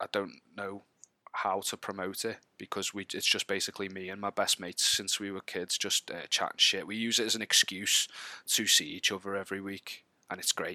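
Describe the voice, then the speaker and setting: The recording is very clean with a silent background and a dry, close sound with no echo, as a man speaks fairly quickly in a fairly low, bright, sharp voice with monotone, flat intonation. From Wallasey, Merseyside, north-west England. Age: 30s. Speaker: podcast guest, gamer. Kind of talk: casual chat.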